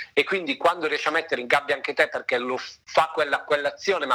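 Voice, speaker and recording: A man is heard over noticeable background noise. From northern Italy, Lake Maggiore (Novara province). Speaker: opera director, former opera singer. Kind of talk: interview conversation.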